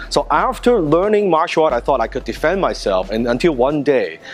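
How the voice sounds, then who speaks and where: Lively intonation from a man with a Chinese accent, at a fairly quick pace over background music. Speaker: martial arts instructor. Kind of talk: personal story; tutorial.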